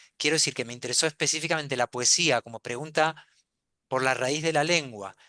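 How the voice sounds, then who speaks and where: Against a quiet background, a man with fairly high pitch and a bright, sharp tone speaks at a fairly quick pace, the sound dry and close with no echo. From Argentina, then Spain from childhood. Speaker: novelist. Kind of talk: panel discussion. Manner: halting, many fillers and repeats.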